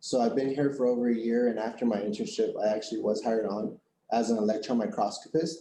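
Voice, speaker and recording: The voice has a dark, mellow tone and a monotone, flat intonation at a moderate pace. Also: man. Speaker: electron microscopist. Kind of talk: career talk to students.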